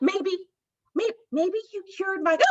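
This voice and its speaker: The voice is a squeaky, put-on character voice. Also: woman, extremely high pitch for a woman. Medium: read story. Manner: friendly, chatty.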